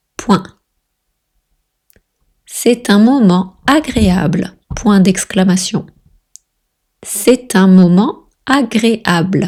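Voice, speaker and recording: A somewhat breathy woman's voice at medium pitch, very slow, with long, frequent pauses, ordinary pitch variation and very even loudness. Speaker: French tutor. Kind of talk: language lesson dictation reading. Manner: slow, slowly dictated, repeated twice.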